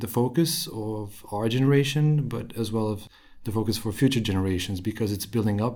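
A man with a Romanian accent speaks at a moderate pace. His pitch is fairly low, with ordinary variation. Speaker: financial manager. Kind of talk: interview. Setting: in person.

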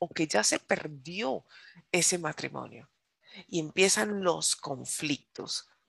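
A woman speaks with vocal fry in a dry, close sound with no echo against a quiet background. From United States, Colombian descent. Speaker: preacher. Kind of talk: sermon. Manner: animated.

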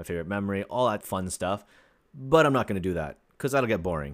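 In a very clean recording with a silent background, a man with a Canadian accent speaks in an animated tone. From Ontario, Canada (small town). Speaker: podcast host. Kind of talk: casual solo monologue.

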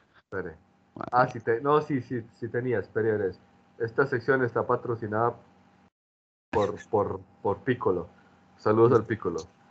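Pausing long and often, a man speaks in a somewhat breathy voice at a medium pitch with ordinary pitch variation. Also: moderate pace. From Medellín, Colombia. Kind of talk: casual chat.

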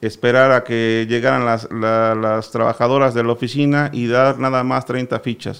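The speaker moves along at a fairly slow pace. Their intonation is monotone and flat. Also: man. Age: 40s. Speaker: sugar cane grower. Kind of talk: radio interview.

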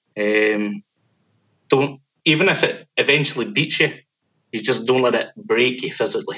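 With lively intonation, a man speaks in a Scottish accent. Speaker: metal band vocalist. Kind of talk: casual interview.

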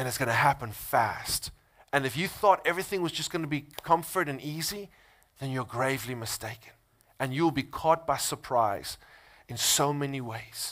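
A man's fairly high voice at a moderate pace, ordinary pitch variation, on a very clean recording with a silent background. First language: Afrikaans. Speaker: pastor. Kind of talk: sermon. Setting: church.

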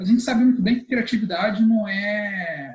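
Pitched high for a man, his voice moves through ordinary variation. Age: 30s. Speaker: business consultant and speaker. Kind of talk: casual interview chat.

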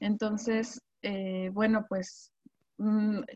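A woman talks in a monotone at a fairly high pitch, somewhat breathy. The sound is dry and close, with no echo. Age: 40s. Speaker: teacher and poet. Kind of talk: casual interview. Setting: video call.

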